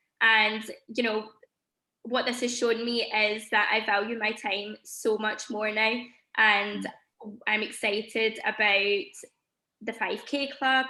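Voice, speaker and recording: Speaking at a very slow pace with long, frequent pauses, a woman with a Scottish accent uses a bright, sharp tone, a fairly high pitch and monotone, flat intonation. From Scotland. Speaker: teacher. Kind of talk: testimony.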